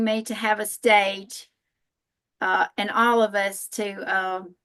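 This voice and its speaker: In a Southern US accent, a woman speaks at a very slow pace with monotone, flat intonation. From US South, northern Alabama. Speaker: massage therapist and spiritual healer. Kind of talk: panel talk.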